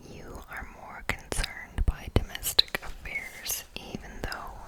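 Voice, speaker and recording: Over noticeable background noise, the words are whispered at a fairly slow pace. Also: woman. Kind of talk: ASMR horoscope reading. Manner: whispered, close-up, crisp.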